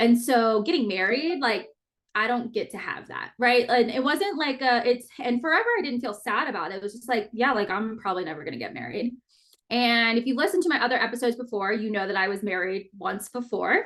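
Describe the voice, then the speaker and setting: Speaking at a fairly quick pace, a woman uses a fairly high pitch and lively intonation in an unremarkable speaking voice. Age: 30s. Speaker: podcast host. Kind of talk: personal monologue podcast. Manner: casual.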